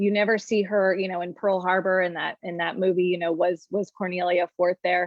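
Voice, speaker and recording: A woman talks at a fairly quick pace with a monotone, flat intonation. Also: medium pitch for a woman, hardly any pauses. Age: 40s. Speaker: documentary filmmaker and producer. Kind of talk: interview conversation. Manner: hesitant, many fillers and repetitions.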